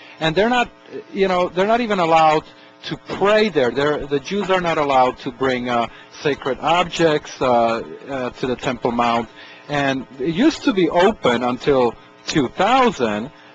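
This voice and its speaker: A man talks with lively intonation at a fairly high pitch. Music plays in the background. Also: moderate pace. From Czechoslovakia. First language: Slovak or Czech. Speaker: radio talk show host. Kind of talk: radio interview. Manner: halting, many fillers.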